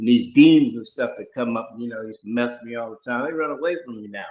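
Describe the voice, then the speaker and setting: An ordinary speaking voice, a man at a fairly quick pace with lively intonation. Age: 60s. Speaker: participant sharing spiritual experiences. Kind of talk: personal testimony.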